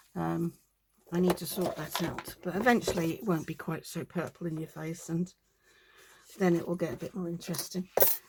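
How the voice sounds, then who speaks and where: A woman with a British accent, fairly low-pitched, at a fairly quick pace with fairly even intonation. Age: 60s. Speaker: crafting video creator. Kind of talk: craft-along casual talk. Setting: home crafting desk, filmed on tripod. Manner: chatty, rambling with many fillers.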